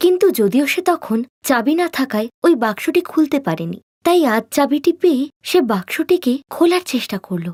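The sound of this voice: In a very clean recording with a silent background, a woman with a high pitch speaks at a fairly quick pace. Her tone is slightly mellow and her pitch swings widely.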